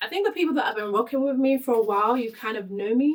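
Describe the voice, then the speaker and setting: A woman talks at a very fast pace in an animated tone. Her intonation is lively. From Nigeria, moved to UK at eleven. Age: 30s. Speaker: podcast host. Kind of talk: casual chat.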